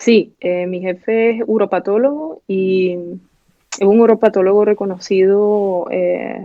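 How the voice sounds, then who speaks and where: A woman with an eastern Venezuelan accent talks at a very slow pace, at a medium pitch with fairly even intonation. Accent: eastern Venezuelan (El Tigre). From eastern Venezuela (El Tigre, Anzoátegui). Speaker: pathology resident physician. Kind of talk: casual interview chat.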